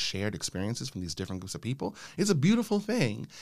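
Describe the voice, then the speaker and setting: Speaking at a very fast pace with very wide pitch swings, the voice carries an American accent on a very clean recording with a silent background. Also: man. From Los Angeles, California (South LA). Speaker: sociology professor. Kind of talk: interview conversation.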